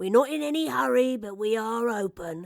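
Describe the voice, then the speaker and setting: A woman uses a put-on character voice at a fairly high pitch. Her pitch swings very widely at a moderate pace. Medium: read story. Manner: warm, kindly.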